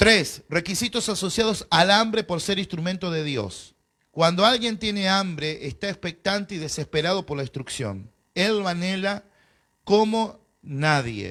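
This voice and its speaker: The man's voice is high, with a bright, sharp tone and ordinary pitch variation. He speaks at a fairly slow pace on a very clean recording with a silent background. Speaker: pastor. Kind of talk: bible class lecture. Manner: animated.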